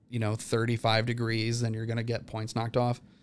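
A man's medium-pitched voice comes through on a very clean recording where the background is silent. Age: 40s. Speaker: TV grilling chef. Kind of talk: casual chat.

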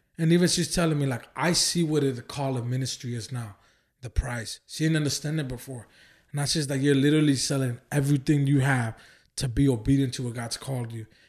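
A man with an American accent, somewhat breathy, fairly high in pitch, with fairly even intonation and a fairly quick pace. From Oakland, California. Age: 20s. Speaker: evangelist and ministry founder. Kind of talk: casual chat.

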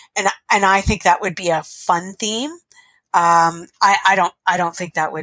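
With a Canadian accent and a bright, sharp tone, the speaker goes at a moderate pace in a dry, close sound with no echo. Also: woman. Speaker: teacher and pinball player. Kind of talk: casual interview chat.

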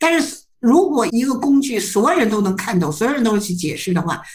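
A woman with a fairly high pitch talks at a fairly quick pace, somewhat breathy, with very wide pitch swings and audible room echo. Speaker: psychology professor. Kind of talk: interview. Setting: remote video interview.

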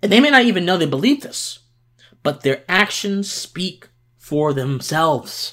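At a fairly slow pace, a man speaks in a high, bright, sharp voice with very wide pitch swings. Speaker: political podcast host. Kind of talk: solo political commentary. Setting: home recording on video.

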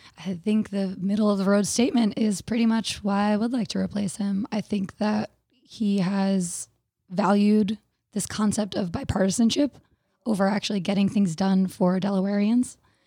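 A woman's dark, mellow, somewhat breathy voice at a medium pitch and moderate pace, with fairly even intonation, on a very clean recording with a silent background. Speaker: Senate candidate. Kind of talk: interview.

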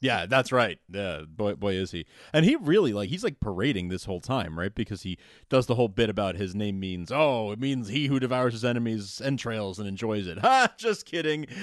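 Over a quiet background, a man with an ordinary speaking voice and a fairly low pitch talks at a fairly quick pace with lively intonation. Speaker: podcast host. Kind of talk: casual podcast recap chat. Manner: jokey, laughing often.

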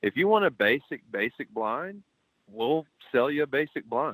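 A man talks at a fairly slow pace. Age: 30s. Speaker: owner of a hunting blind company. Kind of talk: casual interview.

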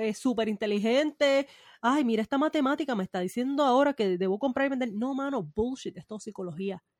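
A woman's high-pitched voice with lively intonation at a moderate pace, in a dry, close sound with no echo and a very clean recording with a silent background. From Puerto Rico. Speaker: podcast co-host. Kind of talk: casual chat.

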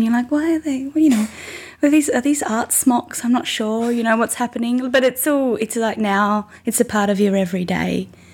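With an Australian accent, a woman speaks at a moderate pace using lively intonation. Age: 20s. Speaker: musician. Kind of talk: interview. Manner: halting.

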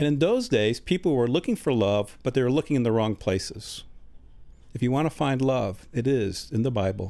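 A man with an American accent speaks at medium pitch and a moderate pace, his intonation lively and his loudness very even. His tone is dark and mellow, on a very clean recording with a silent background. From US Midwest, Chicago. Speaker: retired engineer, creation conference organizer. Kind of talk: interview. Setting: studio.

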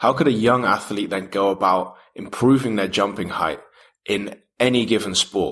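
This man has an unremarkable speaking voice, talking at a moderate pace with ordinary pitch variation. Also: fairly low pitch for a man. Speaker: podcast host. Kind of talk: interview.

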